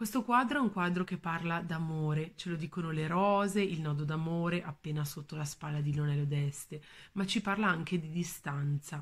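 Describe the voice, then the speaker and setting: A woman with a somewhat breathy, fairly low-pitched voice talks at a moderate pace with ordinary pitch variation. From northern Italy, Valle Imagna near Bergamo; northern Italy. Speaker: museum educator. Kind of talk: art talk. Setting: at home. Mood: warm, calm. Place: home room. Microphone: phone near.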